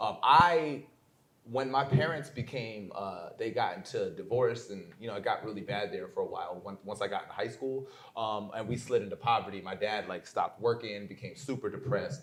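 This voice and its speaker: A man with an American accent, medium in pitch and fairly quick, with ordinary pitch variation and big swings in loudness. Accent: Americanized. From New York State (Port Jervis). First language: German. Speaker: poet and entrepreneur. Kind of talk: interview conversation.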